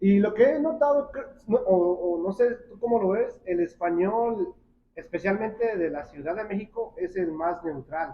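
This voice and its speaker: A man at a fairly slow pace, high in pitch, with lively intonation and big swings in loudness. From Mexico, Oaxaca. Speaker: podcast host. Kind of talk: casual chat.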